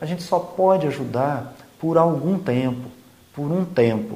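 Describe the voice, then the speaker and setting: A man with lively intonation speaks at a very slow pace over noticeable background noise, with audible room echo. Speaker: spiritist podcast host. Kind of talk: religious reflection talk.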